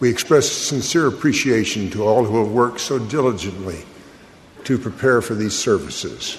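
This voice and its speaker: With noticeable background noise, a man talks at medium pitch and a moderate pace, using ordinary pitch variation. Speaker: conference announcer. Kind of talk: announcing.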